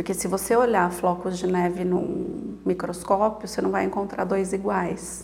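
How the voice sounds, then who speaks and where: A woman is speaking. The room echo is audible. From Brazil, interior of São Paulo state (Piracicaba). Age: 40s. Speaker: psychologist living with multiple sclerosis. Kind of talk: interview, casual chat.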